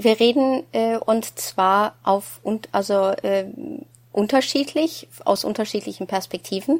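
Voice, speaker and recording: A woman talks at a very slow pace. Her pitch is fairly high. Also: lively intonation. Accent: Norwegian. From Norway. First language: Norwegian (speaking German). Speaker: psychologist, former professor. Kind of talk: casual chat.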